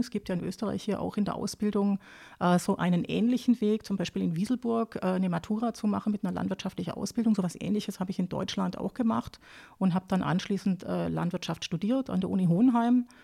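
With a dark, mellow tone and a somewhat breathy quality, a woman talks at a very fast pace in a very clean recording with a silent background and a dry, close sound with no echo. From southern Germany, near Lake Constance (Baden-Württemberg). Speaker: agricultural advisor on pig farming. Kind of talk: expert interview. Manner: many hesitation fillers.

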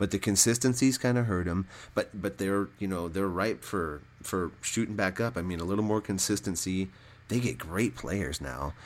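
Very deep and low in pitch, a man with an American accent speaks with lively intonation. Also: moderate pace, very clean recording, silent background. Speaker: sports podcast co-host. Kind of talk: casual chat.

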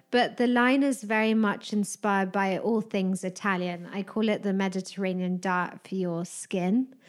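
This woman's voice has a medium pitch, a moderate pace and fairly even intonation, recorded very cleanly against a silent background. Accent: British. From UK. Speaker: wellness director of a hotel group. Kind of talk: interview chat about spa products.

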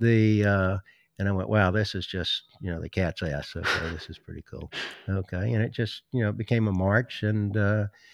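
Against a quiet background in a dry, close sound with no echo, a man with a Southern US accent talks at a moderate pace with a fairly low pitch and fairly even intonation. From US South, South Carolina. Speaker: dog trainer and breeder. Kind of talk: casual interview chat.

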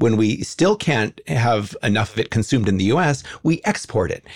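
This man has an American accent and lively intonation. His voice is somewhat breathy. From Los Angeles, California. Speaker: animal advocacy founder. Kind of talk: interview conversation.

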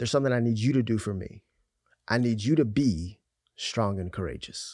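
A man's animated tone, with ordinary pitch variation, comes through a very clean recording with a silent background. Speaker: pastor. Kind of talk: casual chat.

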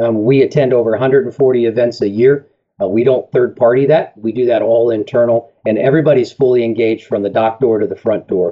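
A man's ordinary speaking voice, medium in pitch, at a fairly quick pace with fairly even intonation and hardly any pauses. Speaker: tire company representative. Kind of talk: interview, product talk.

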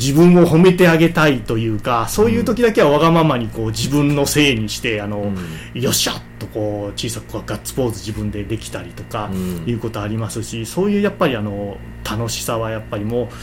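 Fairly quick speech from a man, with music in the background and audible room echo. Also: big swings in loudness. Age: 40s. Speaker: company president, second-generation successor. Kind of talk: interview.

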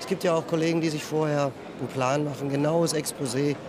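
Over noticeable background noise, a man talks at a fairly quick pace. His fairly high voice stays monotone and flat. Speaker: fantasy novelist. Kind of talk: interview.

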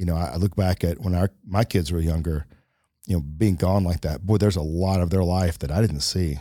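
A man talks with a very deep, low pitch and a dark, mellow tone, his pitch varying in an ordinary way. The recording is very clean, with a silent background. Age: 50s. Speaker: podcast co-host. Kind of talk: casual chat.

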